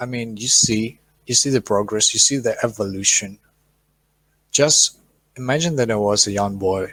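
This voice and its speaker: A medium-pitched man with a non-native accent, at a moderate pace with ordinary pitch variation and long, frequent pauses. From Ukraine, Chernihiv. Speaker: conference moderator. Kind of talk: live-stream hosting. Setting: online live stream.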